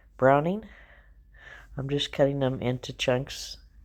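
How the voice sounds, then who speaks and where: The recording is very clean and the background silent. A woman talks in a very deep, low pitch. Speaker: home cooking vlogger. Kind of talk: voiceover narration. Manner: casual, chatty.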